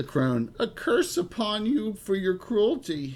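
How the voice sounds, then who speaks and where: A put-on character voice, fairly high in pitch with very wide swings, at a fairly slow pace. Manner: cursing, hostile.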